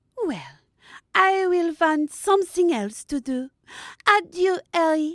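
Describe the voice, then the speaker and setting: In a put-on character voice with a French accent, a woman speaks at an extremely high pitch, breathy and fairly slow. The sound is dry and close, with no echo. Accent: exaggerated French accent with French phrases. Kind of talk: comic overacting. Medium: audio drama. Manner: affected, breathy, peppered with "how you say".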